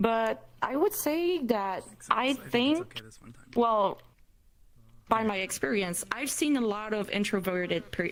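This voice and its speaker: A woman with a non-native accent speaks very slowly at a fairly high pitch with very wide pitch swings. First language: not English. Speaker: meetup moderator. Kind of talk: panel discussion. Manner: halting.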